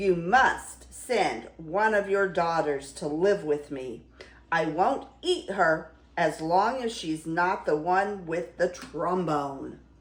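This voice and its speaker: Gruff and loud, a woman puts on a character voice at a fairly low pitch. Her pace is very slow. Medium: read story. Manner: loud, gruff.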